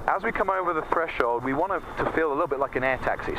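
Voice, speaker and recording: A man at a fairly quick pace, dry sound with no echo, noticeable background noise. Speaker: flight instructor. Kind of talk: in-flight instruction. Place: plane. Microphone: headset.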